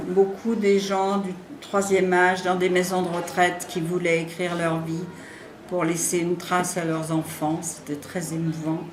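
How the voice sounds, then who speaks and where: Speech comes at a fairly slow pace with monotone, flat intonation. Noticeable background noise and audible room echo fill the recording. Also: woman, fairly low pitch for a woman. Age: 70s. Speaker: writing facilitator, retired. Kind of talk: interview. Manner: hesitant, many fillers.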